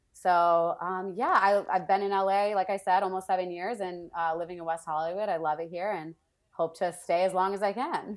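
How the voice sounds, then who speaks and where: Using a normal speaking voice, a woman with an American accent talks fairly quickly at medium pitch with fairly even intonation. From Wisconsin, US Midwest. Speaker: entertainment marketing producer. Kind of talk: casual chat.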